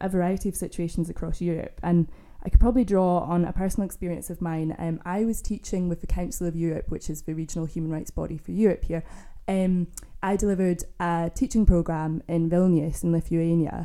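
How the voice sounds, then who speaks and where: Using a Scottish accent, a woman speaks at a fairly quick pace in a fairly low pitch, her tone dark and mellow and her intonation fairly even. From Scotland. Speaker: panelist, law teacher. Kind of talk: panel discussion. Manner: hesitant, many fillers.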